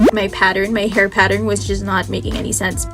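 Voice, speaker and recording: Background music plays under a woman's voice. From Philippines. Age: 20s. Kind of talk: casual talk to camera.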